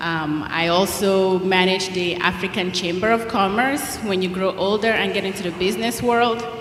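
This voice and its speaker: Amid noticeable background noise and audible room echo, a woman with a Nigerian accent talks at a moderate pace. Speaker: guest speaker at school chapel. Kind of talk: talk to schoolchildren. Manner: animated.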